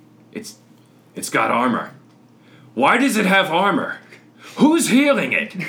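A man puts on a character voice with a high pitch. He keeps a moderate pace and leaves long, frequent pauses. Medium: actual play. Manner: blunt.

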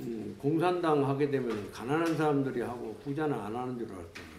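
Over noticeable background noise, a man speaks at a fairly high pitch with ordinary variation. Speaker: former political prisoner. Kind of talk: testimony.

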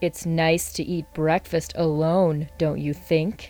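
Clear music plays behind a woman doing a gravelly put-on character voice at a very deep, low pitch and a fairly slow pace. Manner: creepy, unsettling.

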